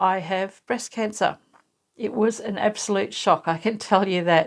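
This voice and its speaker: Her pitch is medium for a woman, with ordinary variation, at a fairly slow pace. The recording is very clean, with a silent background. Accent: Australian. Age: 60s. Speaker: sewing YouTuber, cancer patient. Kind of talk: personal vlog, casual talk to camera. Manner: conversational, with hesitations.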